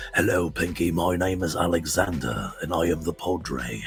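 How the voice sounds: Over clear background noise, a man does a put-on character voice with an English accent, raspy and very deep, speaking at a moderate pace.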